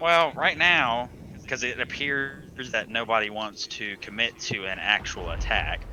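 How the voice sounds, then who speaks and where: Speaking at a fairly slow pace, a man talks with a Southern US accent. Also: medium pitch for a man, ordinary pitch variation. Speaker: game streamer. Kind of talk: live commentary. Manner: halting, stumbles over words.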